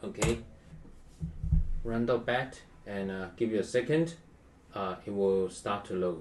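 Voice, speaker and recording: A man with a non-native accent speaks at a fairly slow pace. His intonation is lively, with long, frequent pauses. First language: not English. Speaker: tech tutorial youtuber. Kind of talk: tutorial. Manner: halting, many fillers. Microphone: poor quality webcam.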